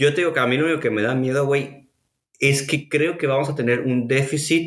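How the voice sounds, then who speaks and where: A man speaks with a Mexican accent. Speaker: podcast host. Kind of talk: casual chat.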